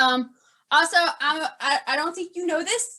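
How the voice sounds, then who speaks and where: Her tone is bright and sharp. The woman speaks in a raised, projected voice. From New Orleans, Louisiana. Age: 30s. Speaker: podcast co-host. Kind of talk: casual chat. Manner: halting, stammering fillers.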